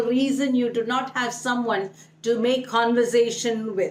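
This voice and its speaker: A woman speaks at a fairly slow pace in a Keralan accent. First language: Malayalam. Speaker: English speaking coach. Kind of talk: online tutorial.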